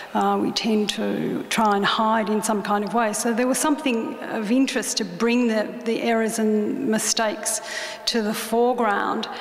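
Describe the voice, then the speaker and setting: A woman with an Australian accent, fairly high in pitch, at a moderate pace and with fairly even intonation, amid noticeable background noise and audible room echo. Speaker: artist. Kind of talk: talk to an audience. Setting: stage with audience. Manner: halting.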